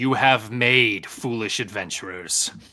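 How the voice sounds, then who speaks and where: In a put-on character voice, the speaker booms with a menacing tone at a fairly slow pace. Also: man. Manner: booming, menacing.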